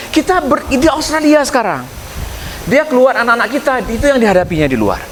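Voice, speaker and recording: A man with a Minang accent talks at a very fast pace with an extremely high pitch and lively intonation, over noticeable background noise. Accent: Minang-accented Indonesian. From West Sumatra, Indonesia. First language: Minangkabau (speaking Indonesian). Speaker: professor, candidate for community association chair. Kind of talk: campaign speech with Q&A.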